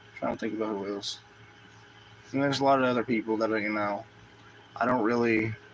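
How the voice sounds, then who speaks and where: A man talks at a very fast pace but with long, frequent pauses. His pitch is medium, and his intonation is fairly even. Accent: American. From US South. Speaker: gaming streamer. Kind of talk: casual chat. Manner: loud.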